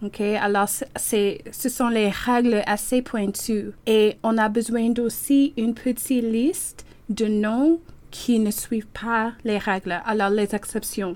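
Speaking at a fairly slow pace, a woman uses a normal speaking voice. Her pitch sits fairly high. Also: fairly even intonation. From Toronto, Canada. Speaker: French language teacher. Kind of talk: interview.

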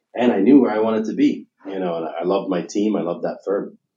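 A man at a very fast pace. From United Kingdom. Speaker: real estate investment firm CEO. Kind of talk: interview.

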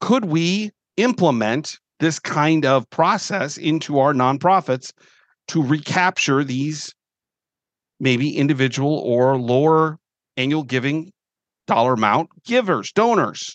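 With lively intonation and very even loudness, a man speaks in an unremarkable speaking voice at a fairly high pitch, the sound dry and close with no echo over a quiet background. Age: 50s. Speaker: nonprofit fundraising consultant and podcast host. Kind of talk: solo podcast monologue. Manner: conversational, with filler repetitions.

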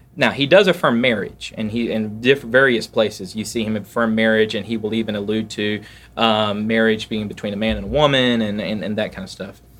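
Over a very clean, silent background, a man speaks at a fairly quick pace with hardly any pauses, fairly even intonation, and a fairly low pitch. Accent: Southern US. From US South, south Georgia (Valdosta). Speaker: pastor. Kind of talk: casual interview chat. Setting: at his church.

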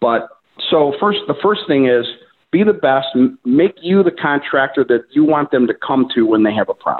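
A man's fairly high-pitched voice with an Inland North accent. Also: lively intonation, moderate pace. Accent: Northern Midwest American (Inland North). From US Midwest, Cleveland, Ohio. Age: 60s. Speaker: delivery contractor, business owner. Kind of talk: webinar interview.

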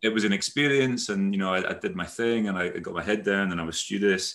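A man with a slight Aberdeen accent speaks at a fairly quick pace. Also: very clean recording, silent background. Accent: Scottish (Aberdeen), slight. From Netherlands-born, raised Aberdeen Scotland. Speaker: company CEO. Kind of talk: casual chat, interview. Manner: rambling, hesitant, self-correcting.

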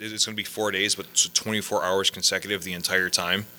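Here is a man with a normal speaking voice. He is fairly low in pitch and talks at a fairly quick pace. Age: 30s. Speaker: gaming podcast co-host. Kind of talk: casual chat. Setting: office.

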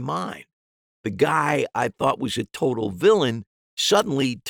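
The recording carries a natural reading voice over a quiet background.

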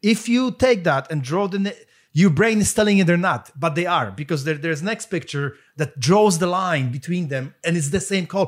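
Speaking with a Polish accent, a man uses a high pitch and lively intonation. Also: moderate pace. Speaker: podcast co-host. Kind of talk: casual conversation.

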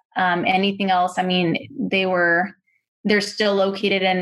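A woman talks at a fairly slow pace. Hers is a plain, everyday voice. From Wichita, Kansas. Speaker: daughter of guest family. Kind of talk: interview.

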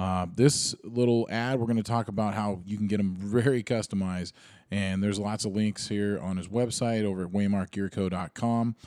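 Here a man speaks at a moderate pace in a fairly low voice. The recording is very clean, with a silent background. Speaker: podcast host. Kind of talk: casual interview. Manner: halting.

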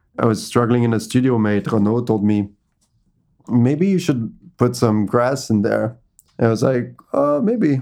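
A man with a French accent speaks fairly slowly in a dark, mellow tone at a medium pitch, with ordinary pitch variation and long, frequent pauses. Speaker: painter and artist. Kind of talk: casual interview chat.

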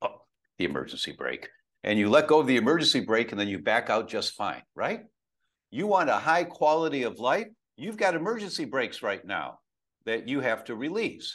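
A man talks fairly quickly, his voice showing vocal fry and swinging very widely in pitch. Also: fairly high pitch for a man, quiet background. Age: 70s. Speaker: functional medicine doctor. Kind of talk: interview, explaining.

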